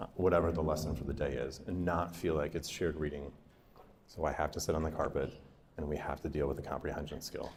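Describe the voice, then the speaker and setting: A man talks at a very fast pace. His very deep, low voice stays monotone and flat. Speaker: school district literacy presenter. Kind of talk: professional development presentation.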